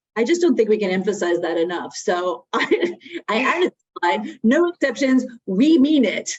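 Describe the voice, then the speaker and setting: A fairly high-pitched woman with a Connecticut accent, very wide pitch swings and a moderate pace. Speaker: webinar presenter on workplace drug policy. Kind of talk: webinar presentation. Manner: conversational with frequent fillers.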